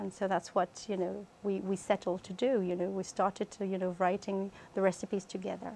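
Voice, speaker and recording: Her voice medium in pitch and dark and mellow in tone, a woman with a French accent talks fairly quickly in a flat monotone with hardly any pauses. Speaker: cookbook author. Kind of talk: interview. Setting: TV studio. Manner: halting, many fillers.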